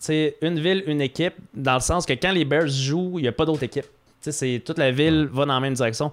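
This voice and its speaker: A man speaks at a very fast pace, his pitch fairly high and his intonation fairly even. The recording is very clean, with a silent background. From Quebec, South Shore of Quebec City. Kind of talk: casual chat.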